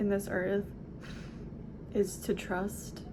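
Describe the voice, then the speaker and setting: With monotone, flat intonation, a woman talks at medium pitch over noticeable background noise. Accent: American. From Southern California. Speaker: hypnosis practitioner. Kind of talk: casual talk to camera.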